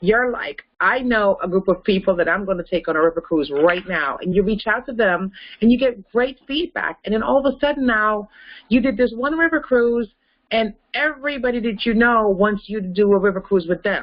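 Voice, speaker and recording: A woman's animated, fairly high-pitched voice at a moderate pace. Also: lively intonation. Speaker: travel business trainer. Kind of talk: webinar Q&A with caller.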